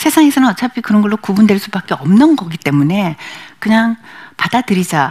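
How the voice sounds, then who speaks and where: Somewhat breathy and medium in pitch, a woman talks at a fairly quick pace with very wide pitch swings. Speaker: image consultant and lecturer. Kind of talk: lecture. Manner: fast.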